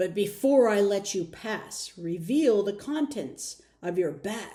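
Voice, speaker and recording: A woman bellows and growls in a put-on character voice at a medium pitch. Her pace is fairly slow. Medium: read story. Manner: roaring, commanding.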